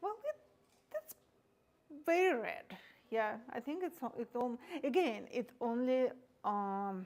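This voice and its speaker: A woman's high voice with very wide pitch swings, at a very slow pace with long, frequent pauses. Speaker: painter giving a live demonstration. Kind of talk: live painting demonstration with audience Q&A. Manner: quiet; halting.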